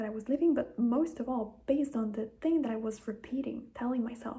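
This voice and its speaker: A woman with an Italian accent speaks at a fairly high pitch. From Italy. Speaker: manifestation content creator. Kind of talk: casual talk to camera. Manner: conversational, informal.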